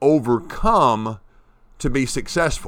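A man's voice with lively intonation, very cleanly recorded against a silent background. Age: 50s. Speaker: podcast host, recovery coach. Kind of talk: solo motivational monologue. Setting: home at a farm, early morning. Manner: hesitant with many fillers and restarts.

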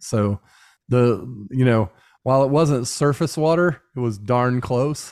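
On a very clean recording with a silent background, a man with a Midwestern American accent talks at a fairly slow pace, at medium pitch with ordinary pitch variation and very even loudness. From Indiana, US Midwest (Muncie). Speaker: podcast co-host, musician and software engineer. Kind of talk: casual chat.

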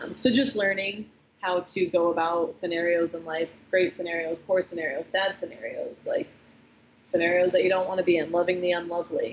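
An unremarkable speaking voice from a woman, at a fairly quick pace with fairly even intonation. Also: fairly low pitch for a woman. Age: 20s. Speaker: CrossFit athlete and former nurse. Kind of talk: casual chat. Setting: gym.

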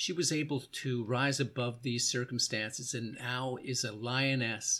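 Fairly slow and fairly even in intonation, a man speaks at medium pitch in a plain, everyday voice. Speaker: podcast host and motivational speaker. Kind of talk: interview. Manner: warm, encouraging.

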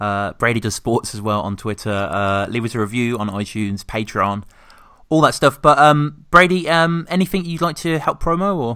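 A man with a British accent at medium pitch, lively in intonation and moderate in pace, on a very clean recording with a silent background. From Britain. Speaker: podcast host. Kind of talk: casual chat. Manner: halting.

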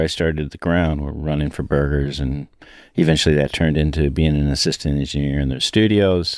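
With a very deep, low pitch, a man speaks at a very fast pace. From Peoria, Illinois, US Midwest. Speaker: podcast co-host, recording engineer. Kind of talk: casual chat. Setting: recording studio.

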